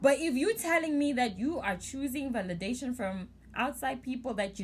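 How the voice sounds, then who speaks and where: A woman speaks loudly at a fairly slow pace, her high-pitched voice animated with lively intonation. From South Africa. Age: 20s. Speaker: vlogger. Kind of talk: casual advice vlog.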